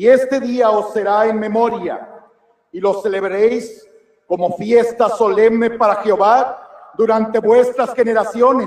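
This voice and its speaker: The man's voice is high in pitch. He speaks at a fairly slow pace with fairly even intonation. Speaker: congregation member reading scripture aloud. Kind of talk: reading aloud.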